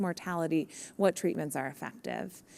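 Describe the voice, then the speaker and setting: A woman speaks at a fairly quick pace in a dark, mellow tone, on a very clean recording with a silent background. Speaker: physician speaking at a summit. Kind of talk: conference talk. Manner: fast.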